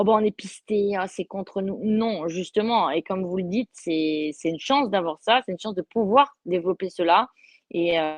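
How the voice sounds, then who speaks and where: This woman has a medium-pitched voice with ordinary pitch variation. She talks at a moderate pace. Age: 30s. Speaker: motorcycle racer. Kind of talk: interview. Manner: halting, many repetitions.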